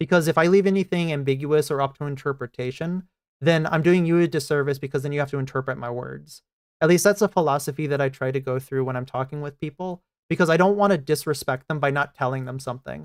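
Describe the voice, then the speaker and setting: Speaking at a very fast pace, a man with an American accent shows ordinary pitch variation. The recording is very clean, with a silent background. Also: fairly high pitch for a man. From United States. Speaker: streamer. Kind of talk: casual chat. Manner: forceful, blunt.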